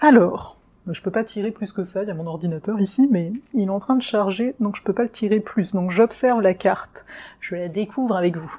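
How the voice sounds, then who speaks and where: A woman talks at medium pitch and a moderate pace, with ordinary pitch variation. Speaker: astrologer. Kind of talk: astrology forecast video. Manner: hesitant fillers.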